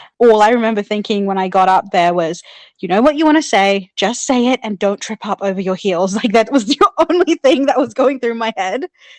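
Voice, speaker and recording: An animated tone and lively intonation in a New Zealand accent, with a dry, close sound and no echo. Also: woman, fairly quick pace. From New Zealand (born in Sri Lanka). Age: 30s. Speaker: public speaking club member, contest winner. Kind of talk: podcast interview.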